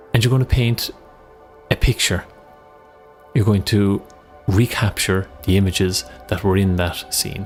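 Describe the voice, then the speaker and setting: Over background music, a man speaks at a moderate pace in a calm, soothing tone, with a fairly low pitch and ordinary pitch variation. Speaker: meditation coach. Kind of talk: guided visualization.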